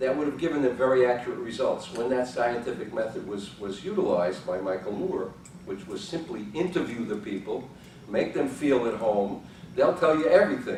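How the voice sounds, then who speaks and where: Speaking at a fairly quick pace, a man with medium pitch makes very wide pitch swings. There is audible room echo and noticeable background noise. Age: 70s. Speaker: psychologist and journal editor. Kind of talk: conference talk. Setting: conference room with audience. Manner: casual, halting with fillers.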